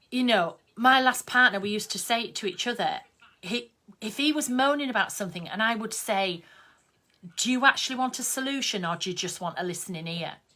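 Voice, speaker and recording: In a Yorkshire accent, the voice moves at a fairly quick pace with lively intonation and a bright, sharp tone. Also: woman, fairly high pitch for a woman. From Yorkshire, northern England. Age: 50s. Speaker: craft artist and online host. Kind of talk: casual live-stream chat. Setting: Facebook live video stream. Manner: chatty, conversational.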